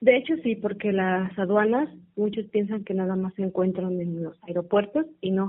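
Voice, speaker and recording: A woman talks in a plain, everyday voice at a moderate pace with ordinary pitch variation. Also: medium pitch for a woman. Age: 20s. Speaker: customs and foreign trade graduate. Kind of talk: interview.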